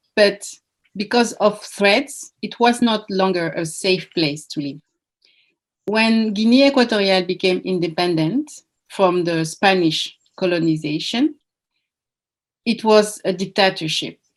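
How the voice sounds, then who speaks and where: Long, frequent pauses mark a woman's fairly slow speech in a strong French accent, with lively intonation. The recording is very clean, with a silent background. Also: medium pitch for a woman. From France. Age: 40s. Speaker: Olympic athlete and coach. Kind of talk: interview. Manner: halting.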